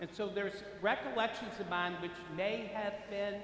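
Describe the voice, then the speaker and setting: With noticeable background noise and audible room echo, a man talks at a moderate pace in a high pitch. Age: 60s. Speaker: priest. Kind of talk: sermon.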